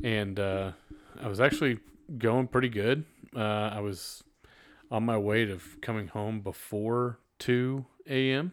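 On a very clean recording with a silent background, a man with a Texan accent speaks at a fairly slow pace, leaving long, frequent pauses. His pitch is medium, with ordinary pitch variation. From North Texas (Fort Worth area). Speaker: podcast host. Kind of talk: casual chat.

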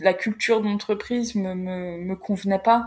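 Monotone and flat, a woman's voice moves at a very slow pace. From northern France (Creil, Oise). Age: 30s. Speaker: career coach, company founder. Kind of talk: interview. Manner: halting, many repetitions and fillers.

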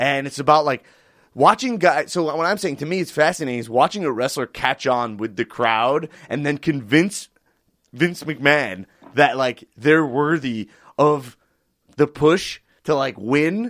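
A man's fairly high voice with lively intonation and an American accent, in a dry, close sound with no echo and a very clean recording with a silent background. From US, family from the Bronx but grew up elsewhere. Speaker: guest explaining pro wrestling. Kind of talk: casual chat. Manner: animated, halting with fillers.

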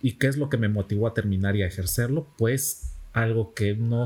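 The voice has a dark, mellow tone and is somewhat breathy, moving at a moderate pace with ordinary pitch variation. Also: man. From Mexico, Campeche. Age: 20s. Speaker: software developer and teacher. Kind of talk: casual interview. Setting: café.

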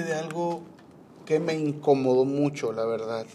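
In a room with audible echo, a man with a dark, mellow tone speaks with lively intonation. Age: 30s. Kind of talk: casual devotional talk. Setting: rooftop. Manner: halting.

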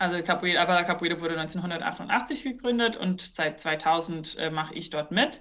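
At a moderate pace, a woman speaks with a fairly low pitch and ordinary pitch variation, in an ordinary speaking voice. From New Zealand. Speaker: business consultant and capoeira teacher. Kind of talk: podcast interview.

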